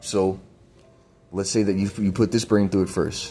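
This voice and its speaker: Over background music, a man speaks at a fairly quick pace in a very deep, low voice with monotone, flat intonation. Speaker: video blogger. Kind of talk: explanatory monologue. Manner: halting.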